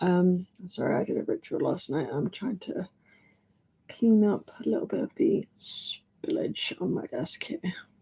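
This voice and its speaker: A woman with an English accent talks at a fairly slow pace. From England. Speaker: oracle card reader, live streamer. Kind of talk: live-stream oracle card reading. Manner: casual, chatty with fillers.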